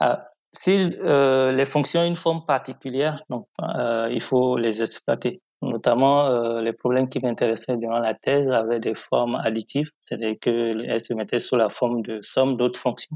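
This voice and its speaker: Sound is dry and close, with no echo. A man of medium pitch talks at a moderate pace with ordinary pitch variation. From Benin, Parakou (north). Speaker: applied mathematician, industrial researcher. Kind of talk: interview. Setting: remote call. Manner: hesitant, frequent fillers.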